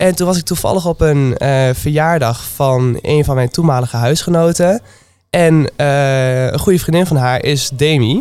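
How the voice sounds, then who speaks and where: This is a normal speaking voice with very even loudness. It moves at a moderate pace with ordinary pitch variation. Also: man, fairly high pitch for a man. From Twente, eastern Netherlands. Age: 20s. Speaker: restaurant manager. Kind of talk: casual interview.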